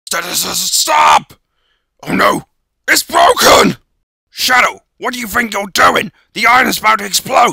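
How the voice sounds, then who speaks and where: A man uses a raspy, put-on character voice at an extremely high pitch. He goes at a fairly slow pace with long, frequent pauses, in a dry, close sound with no echo. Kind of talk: voice audition. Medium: voice reel. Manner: gloating, theatrical.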